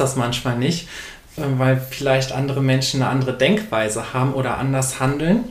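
A man at a moderate pace, fairly high in pitch, with audible room echo and noticeable background noise. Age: 20s. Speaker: author and bookseller. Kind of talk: interview.

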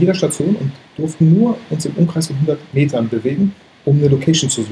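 Fairly quick speech with ordinary pitch variation against noticeable background noise. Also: man. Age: 30s. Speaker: photographer and YouTuber. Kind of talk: casual interview.

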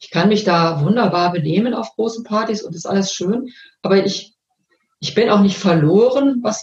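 Somewhat breathy and calm in tone, a woman speaks at a moderate pace with lively intonation. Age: 50s. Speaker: coach. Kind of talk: interview.

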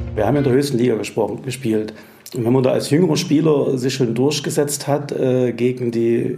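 Noticeable background noise and audible room echo surround a man talking at medium pitch and a moderate pace. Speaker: former youth football coach. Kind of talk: interview.

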